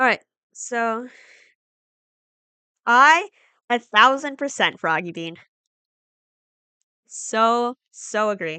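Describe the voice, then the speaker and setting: A woman's fairly high, bright, sharp voice with an American accent, very slow pace, lively intonation, long and frequent pauses, and a dry, close sound with no echo. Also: quiet background. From United States. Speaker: streamer. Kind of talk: casual chat. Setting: live stream.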